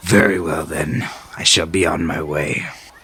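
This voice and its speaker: A man puts on a raspy character voice, very deep and low in pitch, at a moderate pace. Clear background noise is present. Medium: actual play. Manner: formal, stiff.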